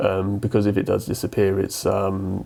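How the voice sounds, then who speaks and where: Noticeable background noise sits behind a man speaking with an English accent. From England. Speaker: guitar YouTuber. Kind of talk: casual vlog commentary. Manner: hesitant, many fillers.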